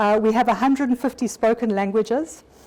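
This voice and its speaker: A woman speaks in a South African accent at a moderate pace. Her voice is high, with ordinary pitch variation. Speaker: occupational health physician, development bank staff, speaker. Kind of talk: conference presentation. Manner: halting, with frequent fillers and repetitions.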